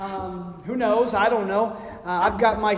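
With noticeable background noise and audible room echo, a man talks in a high voice. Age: 50s. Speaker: pastor. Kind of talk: sermon. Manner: animated.

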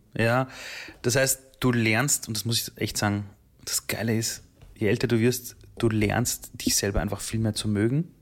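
Here a man talks at a moderate pace and medium pitch with fairly even intonation. The recording is very clean, with a silent background. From Austria, Vienna. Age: 30s. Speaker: entrepreneur and keynote speaker. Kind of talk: interview. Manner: calm.

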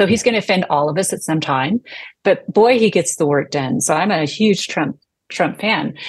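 A woman talks at a fairly quick pace in a normal speaking voice. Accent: American. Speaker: property rights advocate. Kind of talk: interview. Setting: remote call.

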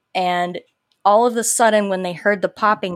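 With a Southern US accent, a woman speaks at a medium pitch. The recording is very clean, the background silent. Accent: Southern twang. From Live Oak, Florida, US South. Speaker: paranormal podcast host. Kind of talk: casual chat.

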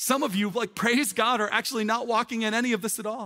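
Loud and high-pitched, a man talks in a bright, sharp tone. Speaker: pastor. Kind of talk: sermon. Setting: church with live audience, streamed online. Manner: fast.

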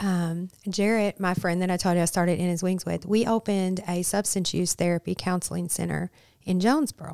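Speaking fairly quickly with an American accent, a woman has a dark, mellow tone at medium pitch, fairly even intonation and very even loudness, in a dry, close sound with no echo. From Michigan, Flint. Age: 50s. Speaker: ministry leader in addiction recovery. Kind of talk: podcast interview.

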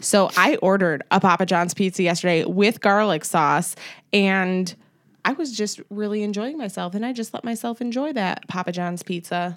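A woman speaks in an ordinary speaking voice at medium pitch and a moderate pace, her pitch varying in the usual way, on a very clean recording with a silent background. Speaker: podcast host. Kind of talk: casual chat.

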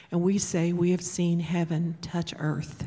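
Speaking fairly slowly with an American accent, a woman has a fairly low, dark, mellow voice that is somewhat breathy and delivered in a flat monotone. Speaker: pastor's wife. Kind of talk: testimony and scripture reading. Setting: church.

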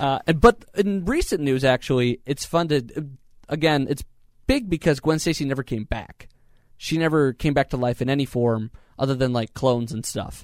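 This man has a plain, everyday voice, fairly high in pitch with ordinary variation, speaking at a moderate pace in a dry, close sound with no echo. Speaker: podcast host. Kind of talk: casual podcast chat.

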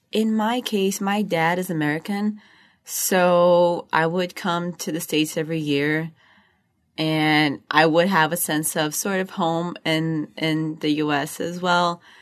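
In a Portuguese accent, a woman talks at a fairly slow pace and fairly low pitch with fairly even intonation over a quiet background. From Brazil, Rio de Janeiro. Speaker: MBA student. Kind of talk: interview.

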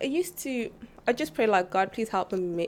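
Talking at a fairly quick pace, a woman with a South African accent uses ordinary pitch variation. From South Africa (Mpumalanga, near Kruger Park). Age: 20s. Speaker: church member. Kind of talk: casual interview.

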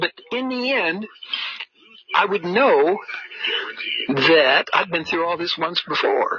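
This man has a high pitch and an American accent, with lively intonation. He goes at a very slow pace, leaving long, frequent pauses. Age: old. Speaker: monologuing man recording his life. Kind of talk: rambling personal monologue, casual, with cursing. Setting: outdoors. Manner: rambling, halting with many fillers.

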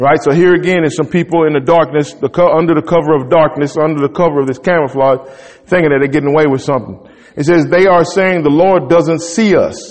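Quick-paced and fairly high in pitch, a man speaks. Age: 40s. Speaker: pastor. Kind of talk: sermon. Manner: animated.

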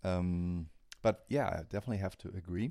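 Speaking with a German accent, a man with a dark, mellow tone talks at a moderate pace. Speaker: metal drummer. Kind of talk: casual interview. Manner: halting.

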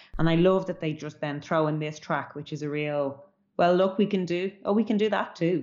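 With a Dublin accent, a woman talks in a fairly low pitch with ordinary pitch variation. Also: moderate pace. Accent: Dublin Irish. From Ireland, Dublin (Artane). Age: 30s. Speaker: musician. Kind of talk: casual music chat.

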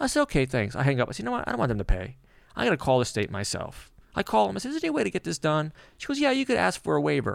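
A man races along at a very fast pace in a very clean recording with a silent background. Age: 50s. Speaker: magician. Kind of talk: casual chat.

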